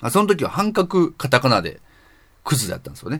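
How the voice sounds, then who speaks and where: A man's fairly quick speech is captured on a very clean recording with a silent background. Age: 30s. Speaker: podcast host. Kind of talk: solo casual talk. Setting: night recording. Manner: casual, many fillers.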